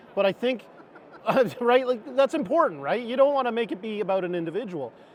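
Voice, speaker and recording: Through noticeable background noise, a man speaks at a very fast pace in an extremely high pitch. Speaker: HVAC industry panelist. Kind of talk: panel discussion. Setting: trade show floor panel, miked up.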